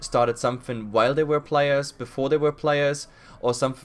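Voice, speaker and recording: The speaker is a man. He talks with a German accent. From Germany. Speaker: podcast host and esports caster. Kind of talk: podcast interview.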